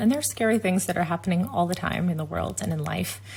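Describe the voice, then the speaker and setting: Noticeable background noise sits under a woman's very deep, low voice. She speaks at a very fast pace with very wide pitch swings. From United States. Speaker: tech company executive. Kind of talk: interview conversation. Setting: video call.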